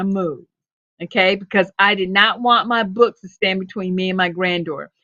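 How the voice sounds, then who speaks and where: A woman in a normal speaking voice, medium in pitch, with fairly even intonation, at a moderate pace. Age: 60s. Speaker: storyteller. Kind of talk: casual chat.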